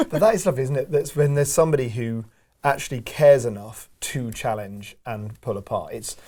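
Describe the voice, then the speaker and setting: Lively intonation and a fairly quick pace mark this man's medium-pitched speech. His tone is dark and mellow, and somewhat breathy. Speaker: interviewer. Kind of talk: interview questions and conversation.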